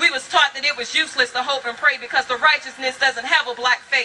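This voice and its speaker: Speaking in an American accent, a woman projects a raised voice at a fairly quick pace, her pitch high with ordinary variation. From Virginia. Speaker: spoken word poet. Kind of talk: spoken word poetry performance.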